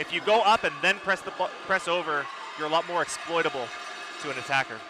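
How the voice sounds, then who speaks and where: Noticeable background noise sits under this clip. A man talks very fast in a high pitch with ordinary pitch variation. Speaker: color commentator. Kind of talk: live sports commentary. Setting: loud gym arena. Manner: shouting.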